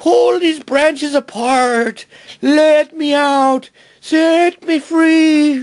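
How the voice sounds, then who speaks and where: Very slowly, a man performs a put-on character voice at an extremely high pitch. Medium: read story. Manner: pleading.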